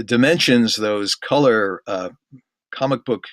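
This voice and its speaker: A man's bright, sharp tone at a fairly slow pace, with ordinary pitch variation and a dry, close sound with no echo. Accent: American. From New York City. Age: 60s. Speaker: author. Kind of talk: interview.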